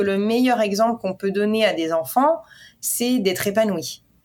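A woman's normal speaking voice, fairly high in pitch, at a fairly slow pace. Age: 30s. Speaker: portrait photographer. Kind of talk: interview.

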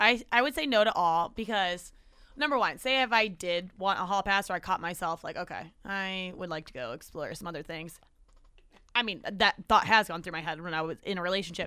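A woman's bright, sharp voice at a medium pitch, fairly quick, with lively intonation and big swings in loudness, in a very clean recording with a silent background. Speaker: podcast host. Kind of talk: casual chat. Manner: fast talker.

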